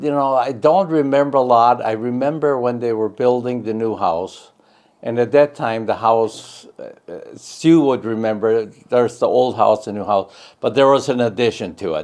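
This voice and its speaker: The speaker is a man with an American accent. His voice sits at a middle pitch. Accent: Upper Midwest, German-Russian North Dakota. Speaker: family elder interviewee. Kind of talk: oral history interview.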